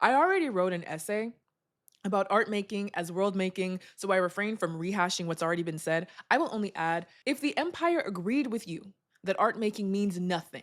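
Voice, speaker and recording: A woman with an American accent and a normal speaking voice talks at a fairly quick pace and a medium pitch. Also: ordinary pitch variation. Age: 20s. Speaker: essayist and podcaster. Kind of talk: reading an essay aloud.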